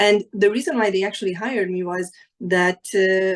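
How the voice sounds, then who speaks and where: A woman with a Hungarian accent talks at a moderate pace in a medium pitch, her intonation fairly even. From Hungary. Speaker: insurance professional, panelist. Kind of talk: panel discussion. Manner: halting, many fillers and repeats.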